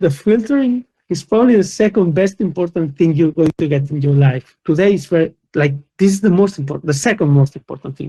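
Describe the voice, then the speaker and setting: With a Spanish accent, a man uses lively intonation in a high-pitched voice with a dark, mellow tone. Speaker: company founder and conference speaker. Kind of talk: conference talk. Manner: animated.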